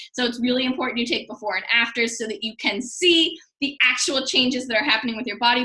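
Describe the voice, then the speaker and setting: This woman's raised, projected voice sits high in pitch, with a bright, sharp tone. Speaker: fitness coach. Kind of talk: tutorial. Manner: fast.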